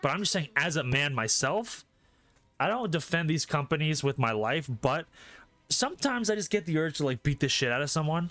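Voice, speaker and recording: With music in the background, a fairly high-pitched man speaks in an animated tone with lively intonation at a fairly quick pace. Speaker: streamer. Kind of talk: casual chat. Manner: loud.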